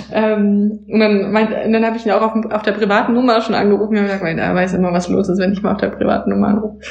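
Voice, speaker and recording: A woman with a fairly high pitch talks at a very fast pace with hardly any pauses. Her intonation is monotone and flat, over noticeable background noise. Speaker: Amazon seller consultant. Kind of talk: casual chat.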